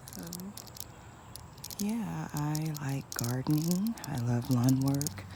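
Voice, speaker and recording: In a room with audible echo and noticeable background noise, a woman speaks at a very slow pace. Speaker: gardening vlogger. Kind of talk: casual vlog narration. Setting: outdoors in backyard garden before sunrise. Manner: quiet, low-volume speech; hesitant, many fillers.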